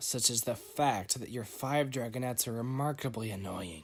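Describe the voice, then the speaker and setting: Using a put-on character voice, a man speaks at a moderate pace with a raspy, medium-pitched sound on a very clean recording with a silent background. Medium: read story. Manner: calm, dry and menacing.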